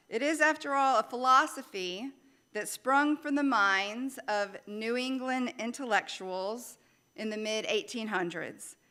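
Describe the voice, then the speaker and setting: In a Louisiana accent, a woman with a high, bright, sharp voice talks at a fairly slow pace with lively intonation. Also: very clean recording, silent background. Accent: Southern US (Louisiana). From Louisiana, US South. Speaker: minister. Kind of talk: sermon.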